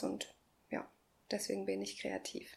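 A woman is speaking. Her pace is fairly slow. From Ecuador. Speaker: early childhood educator and artist. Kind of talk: interview monologue. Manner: hesitant, many fillers.

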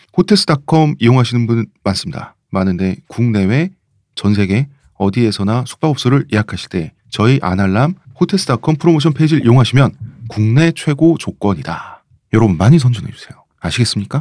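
Very wide pitch swings from a man at a medium pitch, fairly quick pace, on a very clean recording with a silent background. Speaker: podcast host and writer. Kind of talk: casual chat.

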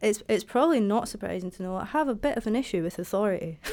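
In a very clean recording with a silent background, a woman with a Dundee accent speaks at a fairly high pitch with ordinary pitch variation. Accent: Scottish (Dundee). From Scotland, Dundee. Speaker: graphic designer. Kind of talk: casual chat. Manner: loud.

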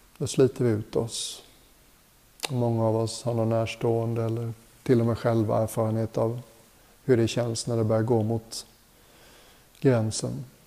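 With long, frequent pauses, a man speaks in a calm, soothing tone and monotone, flat intonation over noticeable background noise. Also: medium pitch for a man. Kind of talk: guided meditation. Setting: retreat hotel group session. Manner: slow, calm, soothing; gentle, unhurried, with long pauses.

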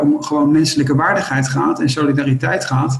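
A man speaks at a moderate pace. His voice is fairly high in pitch and somewhat breathy. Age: 50s. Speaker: company co-founder. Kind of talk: interview.

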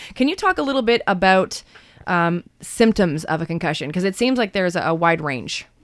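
In a very clean recording with a silent background, a woman with a normal speaking voice and a medium pitch talks at a fairly quick pace with lively intonation. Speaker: radio host. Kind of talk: radio talk show hosting. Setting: radio studio.

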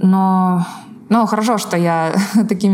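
Over noticeable background noise, a woman talks at a medium pitch with fairly even intonation. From northern Russia, Arkhangelsk region. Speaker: online course instructional designer. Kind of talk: podcast interview. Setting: call between Moscow and Seattle.

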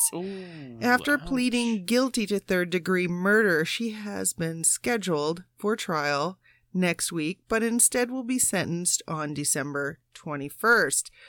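On a very clean recording with a silent background and a dry, close sound with no echo, a woman at medium pitch speaks at a fairly slow pace with hardly any pauses and lively intonation. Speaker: paranormal investigator. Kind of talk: reading news stories aloud, casual chat.

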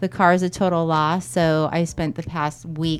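A plain, everyday voice with fairly even intonation on a very clean recording with a silent background. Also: woman. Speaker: podcast co-host. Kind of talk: casual chat and interview.

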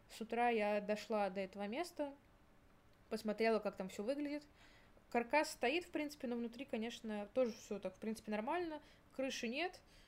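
The speaker is a woman with a fairly high pitch and ordinary pitch variation. She moves at a moderate pace. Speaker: university student. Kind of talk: casual chat.

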